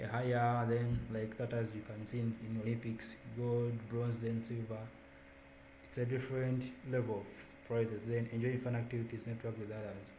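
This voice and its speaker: A man speaks at a moderate pace in a medium pitch with flat, monotone intonation. The room has audible echo, and background noise is noticeable. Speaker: student volunteer coordinator. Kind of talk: online onboarding presentation.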